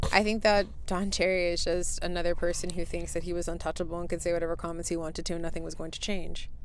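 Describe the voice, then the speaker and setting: Over audible room echo, a woman talks at a very fast pace with vocal fry. Her fairly low voice stays in a monotone, flat intonation. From Canada. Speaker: podcast co-host. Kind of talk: casual chat.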